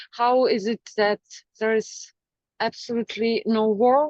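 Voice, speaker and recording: In a strong Ukrainian accent, a woman with a fairly high voice speaks at a fairly slow pace with ordinary pitch variation, in a dry, close sound with no echo. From Ukraine. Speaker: poet. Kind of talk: poetry reading.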